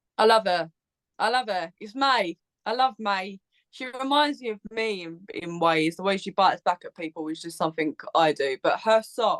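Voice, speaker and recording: A woman with an Essex accent, medium in pitch, at a moderate pace, with lively intonation and big swings in loudness, in a dry, close sound with no echo. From southern England, Essex. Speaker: Eurovision content creator, podcaster. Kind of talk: casual chat.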